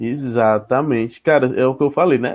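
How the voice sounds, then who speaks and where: Here a man is speaking. His pitch is medium. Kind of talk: casual chat. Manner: fast.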